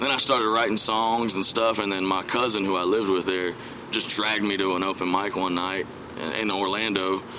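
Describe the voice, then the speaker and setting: Through noticeable background noise and audible room echo, a man with an American accent talks at a fairly quick pace and fairly low pitch with fairly even intonation. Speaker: country singer. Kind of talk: interview.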